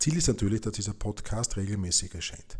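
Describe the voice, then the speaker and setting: A somewhat breathy man at a fairly low pitch, with ordinary pitch variation, in a very clean recording with a silent background. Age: 50s. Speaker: podcast host and football fan. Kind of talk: scripted podcast introduction.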